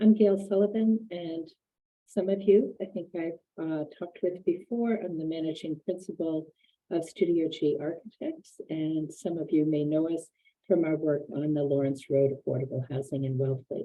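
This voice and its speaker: A woman is speaking. She is soft-spoken and talks at a moderate pace. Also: fairly low pitch for a woman, ordinary pitch variation. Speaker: architect. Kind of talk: webinar presentation. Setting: video call from office.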